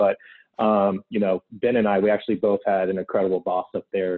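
A man with an American accent and an ordinary speaking voice, fairly low in pitch, at a fairly quick pace. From US South, Gainesville, Florida. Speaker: sports marketing manager. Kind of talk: interview.

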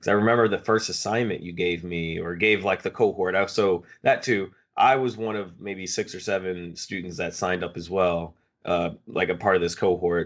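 This man's voice is very deep and low. His intonation stays fairly even. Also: moderate pace. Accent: American. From Philadelphia, US. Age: 20s. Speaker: podcast co-host. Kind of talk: casual chat.

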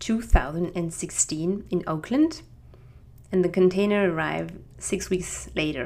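Her pitch is fairly low, with ordinary variation. The woman speaks at a very slow pace. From France, Strasbourg. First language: French. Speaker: podcast host. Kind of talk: scripted-style solo podcast introduction. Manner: friendly, slightly halting.

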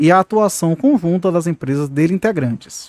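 A man's high voice, fairly quick and lively in intonation, in a dry, close recording with no echo. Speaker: law podcast host / lecturer. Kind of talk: lecture. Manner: halting, with fillers.

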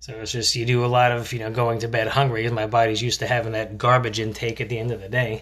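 The delivery is very fast and monotone, with flat intonation and hardly any pauses. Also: man, medium pitch for a man. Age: 30s. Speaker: parenting podcast host. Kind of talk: casual monologue. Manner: hesitant, many filler words.

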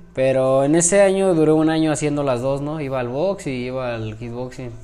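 Audible room echo surrounds a man speaking at a moderate pace. His medium-pitched voice has fairly even intonation. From Mexico, Celaya. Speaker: professional boxer. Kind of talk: interview.

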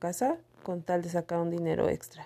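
Her voice is dark and mellow, fairly low in pitch for a woman, and moves at a moderate pace. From Mexico, Estado de México. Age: 40s. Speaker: personal storyteller podcaster. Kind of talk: personal testimony monologue.

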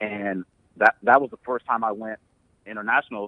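A man with an American accent, fairly low in pitch, at a moderate pace. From US Midwest, Ohio (Columbus), Nigerian family. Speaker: community organizer in tech. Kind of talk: interview. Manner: casual, halting with fillers.

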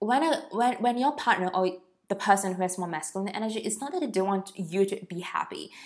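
Talking at a fairly quick pace, a woman uses a medium pitch and lively intonation. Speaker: podcast host and business mentor. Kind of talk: solo podcast monologue. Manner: casual, rambling.

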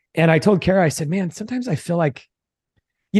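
A man speaking at a very fast pace against a quiet background. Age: 40s. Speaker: real estate investor and business founder. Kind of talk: casual interview. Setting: call.

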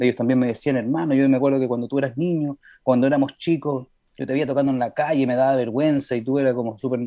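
A man talks at a very fast pace with medium pitch. His tone is dark and mellow, and his intonation is fairly even. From Montreal, Quebec, Canada, to Chilean parents. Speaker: singer-songwriter. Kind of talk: radio interview. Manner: halting.

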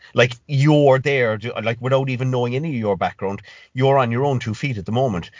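Speaking with a Cork accent, a man uses a medium-pitched voice with ordinary pitch variation. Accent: Cork Irish. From Ireland, rural West Cork. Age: 30s. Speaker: fitness coach and gym owner. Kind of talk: casual chat.

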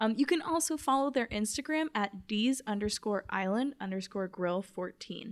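With an unremarkable speaking voice, a woman talks at a moderate pace with hardly any pauses, lively intonation and a fairly high pitch. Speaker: podcast host. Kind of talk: casual interview.

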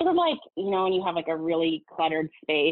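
Here a woman speaks with an American accent. Her pitch is fairly low. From Southern California. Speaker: floral designer and company founder. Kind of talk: interview conversation.

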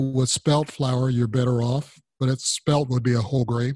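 A man's somewhat breathy voice at a medium pitch, dry and close with no echo. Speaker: podcast host.

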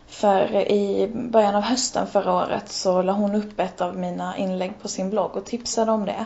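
Flat, monotone intonation marks this woman's medium-pitched voice at a moderate pace. Noticeable background noise sits behind her. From Helsingborg, southern Sweden. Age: 20s. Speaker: blogger. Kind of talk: interview conversation. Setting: Skype call.

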